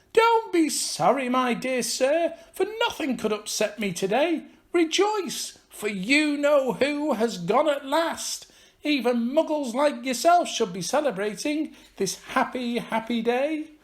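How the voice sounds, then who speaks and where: A squeaky, put-on character voice from a man, extremely high in pitch, at a fairly slow pace. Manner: gleeful.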